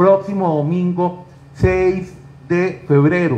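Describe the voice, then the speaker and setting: Speaking with a Costa Rican accent, this man has a high pitch. His voice sits high throughout. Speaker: talk show host. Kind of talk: interview.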